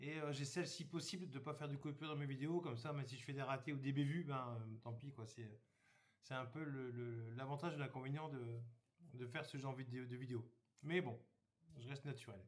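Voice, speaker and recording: Here a man talks at a fairly quick pace with a medium pitch. His voice is somewhat breathy, and his intonation stays fairly even. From northern France, Somme (Hauts-de-France). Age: 50s. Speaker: YouTuber, campsite worker. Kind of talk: casual channel introduction. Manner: hesitant, many fillers.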